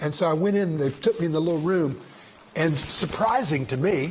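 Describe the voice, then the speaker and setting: Amid noticeable background noise and audible room echo, a man with a fairly high pitch talks at a fairly quick pace with ordinary pitch variation. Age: 60s. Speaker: pastor. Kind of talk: bible study teaching. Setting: room with a group. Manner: conversational.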